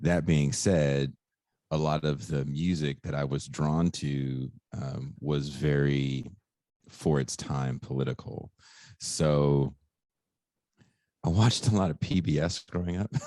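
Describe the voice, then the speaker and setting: A man with a very deep, low voice and a Californian accent, at a very slow pace with long, frequent pauses. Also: ordinary pitch variation. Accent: Californian American. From US West Coast, Richmond, California. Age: 40s. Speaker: podcast host. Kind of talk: interview. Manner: casual, with many fillers.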